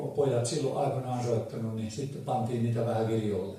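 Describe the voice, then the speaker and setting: A man's medium-pitched voice keeps fairly even intonation through noticeable background noise. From Ähtäri, South Ostrobothnia, Finland. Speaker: folk musician. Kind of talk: dialect storytelling to a live audience. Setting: live event hall.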